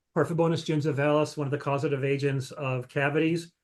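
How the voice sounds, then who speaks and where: A man talks at a fairly quick pace with a fairly high pitch. His intonation stays fairly even over a quiet background. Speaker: microbiology researcher. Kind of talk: scientific talk Q&A. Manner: fast.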